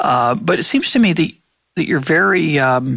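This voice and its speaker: At a moderate pace, the voice has a bright, sharp tone with vocal fry and very wide pitch swings. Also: man. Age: 60s. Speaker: podcast host. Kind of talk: interview conversation.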